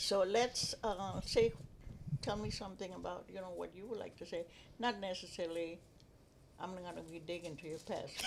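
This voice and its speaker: At a moderate pace in a strong Spanish accent, the voice swings widely in loudness, with ordinary pitch variation and long, frequent pauses. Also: woman, medium pitch for a woman. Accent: heavy Spanish. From Texas. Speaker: grandmother. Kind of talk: casual chat. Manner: halting.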